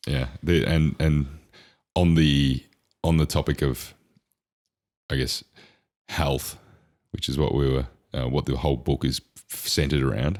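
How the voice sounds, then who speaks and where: At a moderate pace with long, frequent pauses, a man speaks in a very deep, low pitch with vocal fry. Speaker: podcast co-host. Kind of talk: casual chat. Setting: podcast recording with headphones. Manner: loud.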